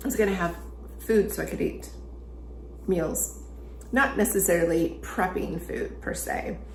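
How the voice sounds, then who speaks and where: A woman's calm, relaxed tone amid noticeable background noise. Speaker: relationship strategist. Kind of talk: ASMR conversational talk to camera. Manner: soft-spoken, slow.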